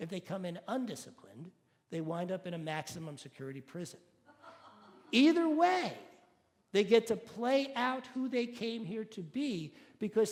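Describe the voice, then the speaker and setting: A man with a high pitch speaks at a fairly slow pace, his intonation lively. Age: 60s. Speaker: minister. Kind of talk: sermon.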